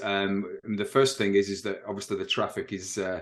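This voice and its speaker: Here a man speaks with an English accent. His pace is fairly quick. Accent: English accent, noticeable. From northern England, Manchester. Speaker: realtor. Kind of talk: interview.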